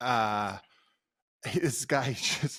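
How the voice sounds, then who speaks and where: Medium-pitched and with ordinary pitch variation, a man speaks in a plain, everyday voice. The recording is very clean, with a silent background. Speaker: podcast co-host. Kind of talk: casual chat.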